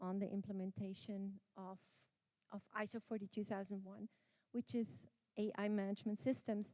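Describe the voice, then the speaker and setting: With a German accent, a woman speaks at a moderate pace and medium pitch in a monotone, flat intonation. The recording is dry and close, with no echo. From Austria. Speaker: conference speaker on quality and AI management. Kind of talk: conference presentation.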